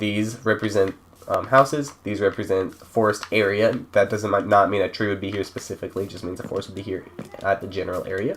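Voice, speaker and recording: The voice moves at a fairly quick pace. Noticeable background noise sits behind it. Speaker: gaming server creator. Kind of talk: tutorial. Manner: casual, halting.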